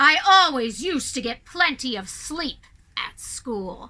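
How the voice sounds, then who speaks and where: A woman puts on a character voice, high-pitched and growling, at a fairly slow pace with very wide pitch swings and big swings in loudness. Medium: read story. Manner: smug, mocking.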